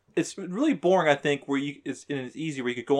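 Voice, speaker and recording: A man uses a normal speaking voice, fairly high for a man, with ordinary pitch variation. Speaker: gamer friend. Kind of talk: casual chat.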